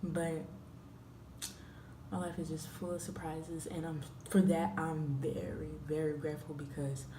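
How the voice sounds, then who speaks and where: A woman with an American accent speaks in a very deep, low voice, with audible room echo and noticeable background noise. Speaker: travel vlogger. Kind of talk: casual vlog talk. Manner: stuttering at times. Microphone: quiet recording.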